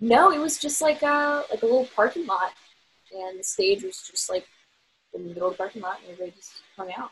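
At a very fast pace, a woman with a fairly high pitch makes very wide pitch swings and big swings in loudness. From Virginia. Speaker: singer-songwriter. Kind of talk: casual interview chat.

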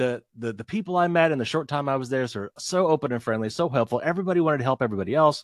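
A man with an American accent speaks at a very fast pace, his pitch swinging very widely. The sound is dry and close with no echo, set against a quiet background. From US Midwest, Indiana. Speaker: podcast host and author, guest. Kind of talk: casual interview chat.

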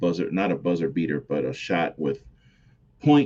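A man's very deep, low voice with an American accent against a quiet background. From New York, the Bronx. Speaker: wrestling podcast host. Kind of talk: solo podcast commentary. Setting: home recording at computer. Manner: animated.

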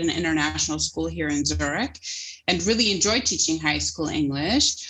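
Speaking with a North American accent, a woman lets vocal fry run through her voice. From United States. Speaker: apparel brand founder. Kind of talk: podcast interview.

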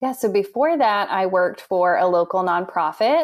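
An unremarkable speaking voice from a woman with an American accent, medium pitch, lively intonation and a moderate pace. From Indiana, US Midwest. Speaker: music therapist. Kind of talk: interview.

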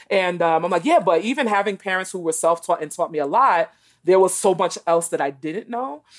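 A woman with an American accent speaks in a plain, everyday voice with ordinary pitch variation. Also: medium pitch for a woman, fairly quick pace. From New York City, Brooklyn. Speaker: author and education consultant. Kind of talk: interview.

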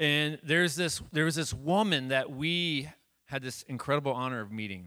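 Bright and sharp in tone, the voice moves at a moderate pace over a very clean recording with a silent background. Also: man. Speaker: pastor. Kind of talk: stage introduction. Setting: church with audience.

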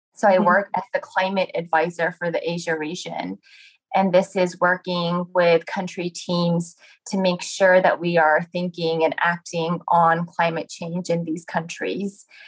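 Speaking fairly slowly in a Japanese accent, a woman keeps a flat, monotone delivery at a fairly low pitch. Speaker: climate adaptation advisor. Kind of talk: interview. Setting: remote call.

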